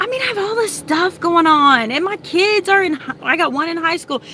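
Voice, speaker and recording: Against noticeable background noise, a woman with an extremely high pitch talks in a raised, projected voice, animated in tone and fairly quick in pace. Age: 40s. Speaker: vlogger and homeschooling mom. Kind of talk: casual chat. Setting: in a car.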